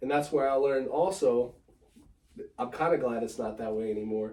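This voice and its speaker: A man with an American accent and an ordinary speaking voice, medium in pitch, at a fairly quick pace. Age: 30s. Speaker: sneaker collector. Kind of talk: casual chat.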